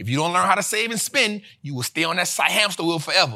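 On a very clean recording with a silent background, a man talks very fast in a raised, projected voice, his tone bright, sharp, animated and passionate, with lively intonation. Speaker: finance show host. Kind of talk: casual energetic commentary on stock market, video show. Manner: animated, passionate.

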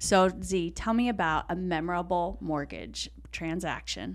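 On a very clean recording with a silent background, a woman with an unremarkable speaking voice speaks at a fairly slow pace and a medium pitch. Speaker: mortgage loan officer podcast host. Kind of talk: casual interview chat.

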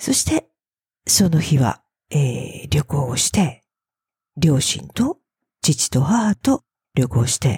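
At a very slow pace, a woman speaks in a very deep, low pitch with very wide pitch swings, a dark, mellow tone and a somewhat breathy quality, in a dry, close sound with no echo. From Japan, Fukuoka. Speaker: Japanese language teacher podcaster. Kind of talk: language lesson monologue.

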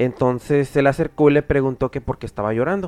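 A man with medium pitch and an unremarkable speaking voice talks at a fairly quick pace. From Tijuana, Mexico. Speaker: podcast producer and co-host. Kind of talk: casual chat.

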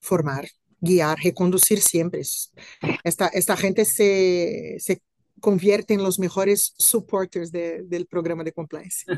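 Dry and close with no echo, a woman speaks very slowly with a Brazilian accent. Her medium-pitched voice has a dark, mellow tone and fairly even intonation. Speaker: compliance officer. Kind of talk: interview.

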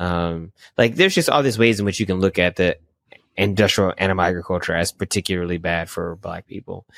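The speaker talks at a very fast pace in an American accent with fairly even intonation. The recording is very clean with a silent background and has a dry, close sound with no echo. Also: man, very deep, low pitch for a man. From Michigan, US. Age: 40s. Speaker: pastor and professor. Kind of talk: casual chat.

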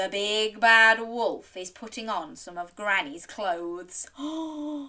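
The reading aloud is plain, carried by lively intonation.

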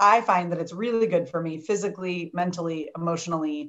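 A woman with an American accent, an ordinary speaking voice, a fairly low pitch, ordinary pitch variation and a fairly quick pace. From US Midwest, Champaign, Illinois. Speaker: laughter yoga leader. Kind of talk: casual interview.

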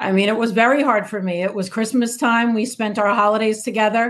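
Using a plain, everyday voice, a woman with an American accent talks at a moderate pace, her fairly high pitch held in fairly even intonation. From New Jersey. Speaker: interview guest, ex-friend of a reality TV cast member. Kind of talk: casual interview chat.

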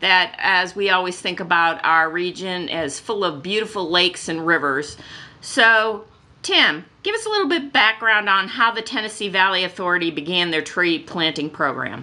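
At a moderate pace, a woman speaks in a normal speaking voice of medium pitch with ordinary pitch variation. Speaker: podcast host. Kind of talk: interview.

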